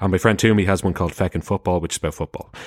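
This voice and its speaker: On a very clean recording with a silent background, the speaker talks in an Irish accent with fairly even intonation. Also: man. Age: 30s. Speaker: podcaster. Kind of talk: casual chat.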